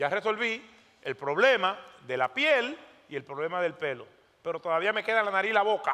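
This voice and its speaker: A man with a Dominican accent in a raised, projected voice, high in pitch, animated in tone, with lively intonation at a fairly quick pace. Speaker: pastor. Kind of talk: sermon.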